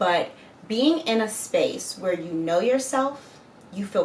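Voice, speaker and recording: A woman with lively intonation at a moderate pace, over noticeable background noise. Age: 30s. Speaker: lifestyle vlogger. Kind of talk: casual vlog monologue. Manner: animated.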